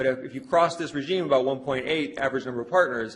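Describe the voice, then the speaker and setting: Amid audible room echo, a man of medium pitch talks very fast with ordinary pitch variation. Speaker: sociology professor. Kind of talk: lecture. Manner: halting with fillers.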